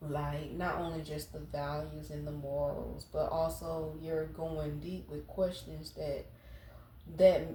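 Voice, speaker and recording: A woman at a very slow pace, loudness swinging widely, with audible room echo. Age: 40s. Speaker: tarot reader. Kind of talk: tarot reading. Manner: casual, rambling.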